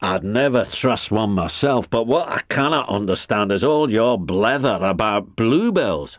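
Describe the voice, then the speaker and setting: In a gruff, put-on character voice, a man speaks at medium pitch and a moderate pace with hardly any pauses, on a very clean recording with a silent background. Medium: read story.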